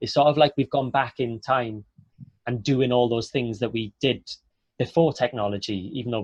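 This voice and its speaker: A man with a Welsh accent, somewhat breathy, medium-pitched, at a fairly quick pace with fairly even intonation. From Wales, Port Talbot. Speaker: actor. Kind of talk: online Q&A interview.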